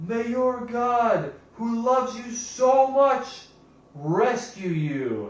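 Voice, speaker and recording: A put-on character voice comes at a fairly high pitch and a very slow pace. A slight echo is audible. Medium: read story.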